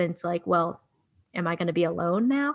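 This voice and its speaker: This woman has a plain, everyday voice, pitched fairly low. She speaks fairly quickly against a quiet background. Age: 20s. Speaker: podcast co-host, adoptee. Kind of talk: casual chat.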